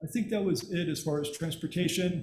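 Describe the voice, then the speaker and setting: A man with a high pitch and fairly even intonation, plus audible room echo. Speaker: regional government representative. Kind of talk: presentation to city council. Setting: city council meeting. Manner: fast.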